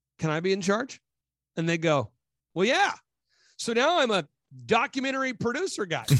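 With a dry, close sound and no echo, a man speaks at a moderate pace in a high, animated voice, his pitch swinging very widely between long, frequent pauses. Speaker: business consultant and conspiracy commentator. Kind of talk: interview, animated monologue. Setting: video call. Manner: animated, talkative.

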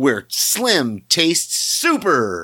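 A put-on character voice sits at a low-to-middle pitch. It leaps through very wide pitch swings. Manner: smooth, upbeat, salesy.

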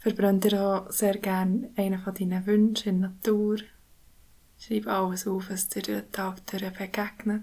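A woman's medium-pitched, somewhat breathy voice, dark and mellow in tone, at a fairly slow pace with monotone, flat intonation. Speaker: meditation guide. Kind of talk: guided meditation. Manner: slow, soft-spoken; calm, soothing, gentle.

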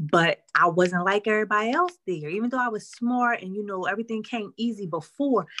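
A woman of medium pitch, bright and sharp in tone, with lively intonation at a fairly quick pace. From Philadelphia, North Philly. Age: 40s. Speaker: counselor. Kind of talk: casual interview.

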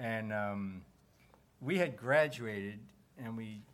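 In a plain, everyday voice, a man speaks with fairly low pitch and ordinary pitch variation. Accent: American. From New Jersey. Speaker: actor. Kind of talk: live interview. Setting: stage with audience.

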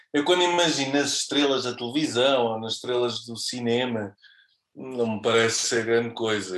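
At a moderate pace, a man speaks in an ordinary speaking voice with medium pitch and ordinary pitch variation. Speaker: radio presenter. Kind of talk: casual chat. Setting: studio.

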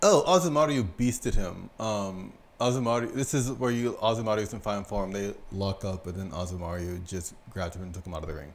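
This man has a normal speaking voice with an American accent and a fairly low pitch. He talks at a moderate pace with ordinary pitch variation and big swings in loudness. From United States. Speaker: sumo podcast co-host. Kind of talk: casual chat.

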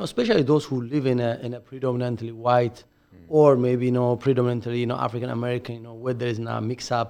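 A dark, mellow tone runs at a very fast pace with hardly any pauses. The intonation is monotone and flat, while the loudness swings widely. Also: man, medium pitch for a man. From Ethiopia. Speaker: community leader with doctorate. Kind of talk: casual chat. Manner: halting, repetitive.

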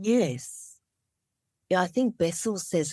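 A woman with an Australian accent is heard in a very clean recording against a silent background. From Australia (Melbourne), born in Vietnam. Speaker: somatic trauma therapist. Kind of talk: interview conversation.

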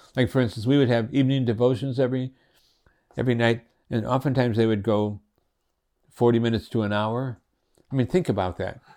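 Over a very clean recording with a silent background, a man with an American accent talks at a very fast pace with long, frequent pauses, using a medium pitch, fairly even intonation and a dark, mellow tone. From Connecticut, US. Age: 70s. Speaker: retired pastor. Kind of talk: interview. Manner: halting.

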